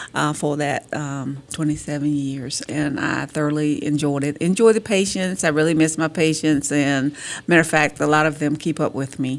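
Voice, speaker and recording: Speaking in an eastern North Carolina accent, a woman with a very deep, low voice keeps a fairly even intonation at a moderate pace with hardly any pauses. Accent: eastern North Carolina Southern. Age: 60s. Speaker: city councilwoman. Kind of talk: radio interview.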